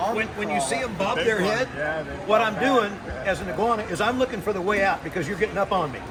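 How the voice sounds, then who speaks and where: A man's high, raised, projected voice at a very fast pace, with ordinary pitch variation, audible room echo and noticeable background noise. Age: 60s. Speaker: iguana hunter. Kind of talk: casual chat.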